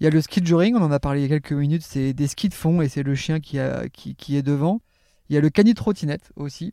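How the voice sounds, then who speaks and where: A man's dark, mellow tone, fairly high in pitch with ordinary pitch variation, at a fairly quick pace, in a very clean recording with a silent background and a dry, close sound with no echo. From Normandy, France. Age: 40s. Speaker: canicross champion athlete. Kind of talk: interview. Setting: at the guest's home.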